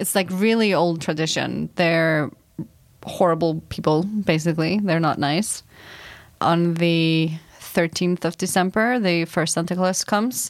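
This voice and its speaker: Speaking at a fairly slow pace, a woman with an Icelandic accent uses a fairly low pitch, an animated tone and very even loudness. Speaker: project manager, Icelandic local guest. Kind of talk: casual chat. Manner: animated, laughs often.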